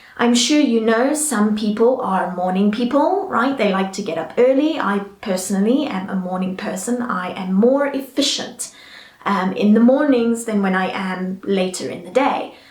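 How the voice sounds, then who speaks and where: Over noticeable background noise, a woman with a fairly high voice speaks with lively intonation. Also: moderate pace. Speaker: English teacher. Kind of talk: casual talk to camera.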